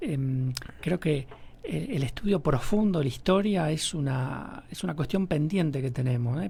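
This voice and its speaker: A man speaks at a fairly slow pace in a somewhat breathy voice, fairly high in pitch, with ordinary pitch variation. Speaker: radio host. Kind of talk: radio interview.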